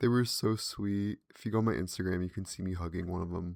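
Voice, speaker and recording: A man's mumbling at a very deep, low pitch. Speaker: podcast host. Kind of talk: casual monologue. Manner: animated.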